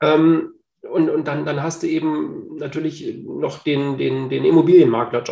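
A man speaks with ordinary pitch variation. His voice is fairly high. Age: 40s. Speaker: real estate agent and property investor. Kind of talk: casual interview.

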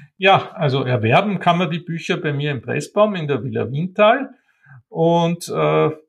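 Speech comes at a very slow pace. There is a somewhat breathy quality to the voice. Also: man. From Austria, Vienna and Wienerwald. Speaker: art historian and bookseller. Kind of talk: interview.

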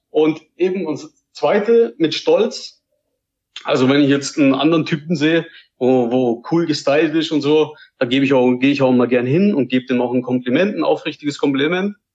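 An unremarkable speaking voice from a man, fairly high in pitch, with ordinary pitch variation, a moderate pace and very even loudness. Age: 20s. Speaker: podcast listener. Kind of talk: casual chat.

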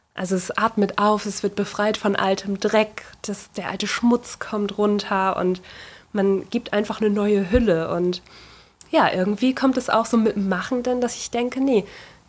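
Noticeable background noise behind a woman's voice, medium in pitch, at a moderate tempo, its pitch varying in an ordinary way. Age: 30s. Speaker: furniture restorer and workshop owner. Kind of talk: interview.

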